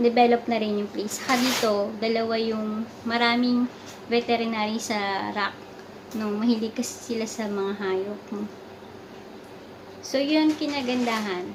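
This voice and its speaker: Over noticeable background noise, a woman talks at a fairly slow pace. Her voice is fairly high, with fairly even intonation. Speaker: vlogger, overseas worker in sales. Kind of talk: casual vlog chat. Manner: soft-spoken.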